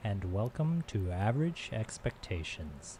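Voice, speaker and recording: A man mumbles in a somewhat breathy voice. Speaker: programming instructor streamer. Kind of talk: live-stream tutorial. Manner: mumbling.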